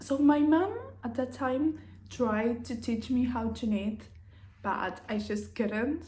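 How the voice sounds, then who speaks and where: A woman with a Spanish accent speaks very slowly at a fairly high pitch, with a dark, mellow tone, vocal fry and ordinary pitch variation. Audible room echo surrounds her voice. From Uruguay. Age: 20s. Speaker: craft vlogger. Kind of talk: casual vlog monologue.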